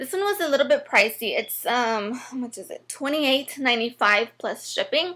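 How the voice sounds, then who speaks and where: In a raised, projected voice, a woman speaks at a high pitch and moderate pace, her tone bright and sharp and her intonation lively. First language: not English. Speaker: beauty vlogger. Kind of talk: product review tutorial. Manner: casual, hesitant with many fillers.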